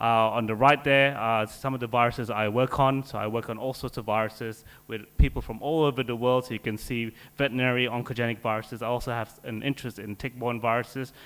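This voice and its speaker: A man rattles along at a very fast pace, medium in pitch and monotone, flat in intonation. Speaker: scientist. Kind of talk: conference talk.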